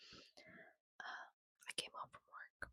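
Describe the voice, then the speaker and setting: The whispering moves at a very slow pace. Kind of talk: whispered ASMR book reading, casual talk to camera. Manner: whispered, soft-spoken.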